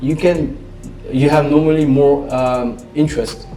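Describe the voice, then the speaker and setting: With music in the background and audible room echo, a man with a French accent speaks at a fairly high pitch with fairly even intonation. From Belgium, French-speaking. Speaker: trader and investor. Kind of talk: interview. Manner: halting.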